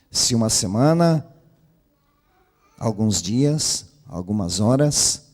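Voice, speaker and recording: A man at a medium pitch, very slow in pace, with lively intonation and long, frequent pauses. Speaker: preacher. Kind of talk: sermon. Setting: church.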